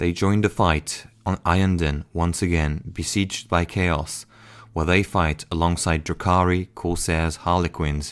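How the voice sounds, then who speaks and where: A man with a non-native accent speaks in a very deep, low pitch at a fairly slow pace. His intonation is monotone and flat, on a very clean recording with a silent background. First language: not English. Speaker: lore narrator. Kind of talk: game lore narration.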